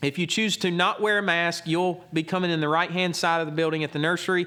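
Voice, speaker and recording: A man talks at a very fast pace. His high voice has a bright, sharp tone. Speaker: pastor. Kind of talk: church announcement. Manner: loud.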